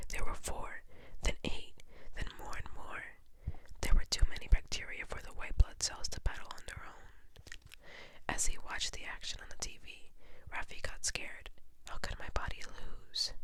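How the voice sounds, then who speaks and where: Someone whispers at a moderate pace. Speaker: ASMR creator. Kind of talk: children's book reading. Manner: whispered.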